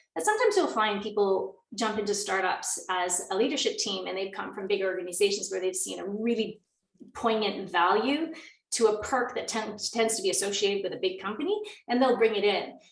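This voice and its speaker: Audible room echo surrounds a woman speaking at a medium pitch and fairly quick pace, with ordinary pitch variation. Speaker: workshop facilitator. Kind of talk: online workshop presentation. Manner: fast.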